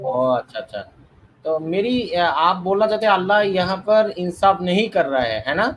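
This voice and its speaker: A man speaks with a high pitch and a non-native accent. His intonation is lively. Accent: non-native Hindi speaker. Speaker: debate caller. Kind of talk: debate. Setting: online live stream. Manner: halting.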